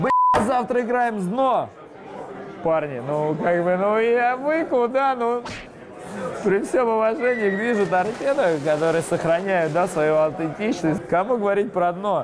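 A man talks at a fairly slow pace with a high pitch, lively intonation and long, frequent pauses. His loudness stays very even, and there is noticeable background noise. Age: 30s. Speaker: football fan leader. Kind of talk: interview. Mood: relaxed, smiling. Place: bar. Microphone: lapel.

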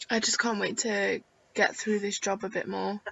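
A woman speaks with a croaky voice, a slightly husky edge, and vocal fry. Her tone is bright and sharp, with little pitch movement. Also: medium pitch for a woman, moderate pace.

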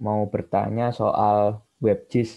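Fairly low, dark and mellow male voice with fairly even intonation, over a quiet background. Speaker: student participant asking question. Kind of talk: question in webinar Q&A. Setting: video call. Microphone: video call.

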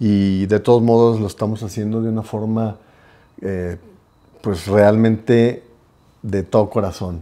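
Pausing long and often, a man speaks at a fairly slow pace in a fairly low pitch, his tone dark and mellow and his intonation monotone and flat. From Guadalajara, Mexico. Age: 50s. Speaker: podcast co-host, business owner; podcast co-host. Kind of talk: casual chat. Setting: home. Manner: hesitant, many fillers. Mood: calm, sincere. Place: home room. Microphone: lapel.

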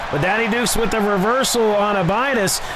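Over loud background noise, a man speaks at a fairly quick pace with an animated tone, a high pitch and ordinary pitch variation. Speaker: wrestling commentator. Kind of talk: live wrestling commentary. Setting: video game wrestling commentary voiceover. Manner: animated, excitable play-by-play. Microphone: headset.

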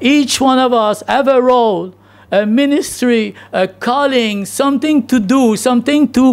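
The pace is fairly slow as a man speaks. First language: not English. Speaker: pastor. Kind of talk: sermon. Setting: church. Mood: earnest, engaged. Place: church. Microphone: podium.

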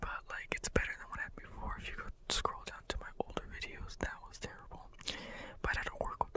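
The voice is a man's whisper. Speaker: ASMR channel host. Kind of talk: ASMR whispered ramble to camera. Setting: home studio, condenser microphone. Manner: whispered; casual, rambling. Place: home room. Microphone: studio mic.

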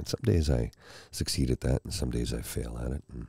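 A soft-spoken man's very deep, low voice at a fairly quick pace, dry with no echo, over a quiet background. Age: 50s. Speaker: ASMR mental health vlogger. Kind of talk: casual chat. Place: home room. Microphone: studio mic.

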